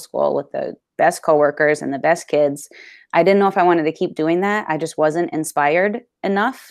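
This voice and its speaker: A woman with an American accent, a fairly low pitch, ordinary pitch variation and a fairly quick pace. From Vermont, US. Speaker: elementary school teacher. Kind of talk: casual interview.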